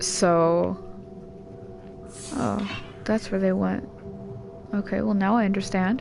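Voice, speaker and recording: With long, frequent pauses and music in the background, a woman talks at a very slow pace. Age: 20s. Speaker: gaming streamer. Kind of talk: casual chat.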